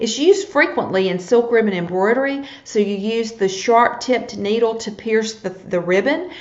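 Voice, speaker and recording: A woman with a Southern US accent speaks at a moderate pace and a fairly high pitch amid noticeable background noise and audible room echo. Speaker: needlepoint teacher. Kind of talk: live-streamed tutorial. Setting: live video broadcast.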